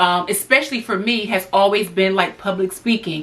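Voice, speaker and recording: Her pace is moderate and her pitch medium, with ordinary pitch variation. This woman has a normal speaking voice. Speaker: lifestyle YouTuber and hairdresser. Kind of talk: casual talk to camera. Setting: alone in a room.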